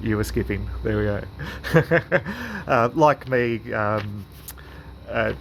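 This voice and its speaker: Very slow speech in an Australian accent is broken by long, frequent pauses. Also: man. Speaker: club interviewer. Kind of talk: interview questions.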